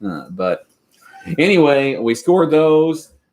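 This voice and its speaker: A man with a Kentucky accent. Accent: Kentucky Southern US. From Western Kentucky. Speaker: homesteading YouTuber. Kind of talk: live stream chat.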